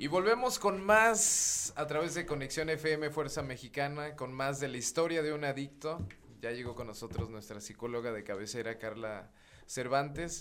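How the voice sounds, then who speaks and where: The man's fairly high voice carries lively intonation and keeps a moderate pace. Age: 20s. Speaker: radio host. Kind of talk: radio talk show.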